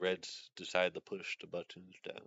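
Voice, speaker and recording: Very deep and low, a man's voice moves at a very slow pace. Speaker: streamer. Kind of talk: casual chat. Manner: monotone; halting.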